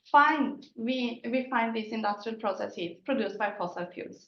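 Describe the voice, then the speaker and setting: A woman's voice with audible room echo. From Sweden. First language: Swedish. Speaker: company CEO. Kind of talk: conference presentation.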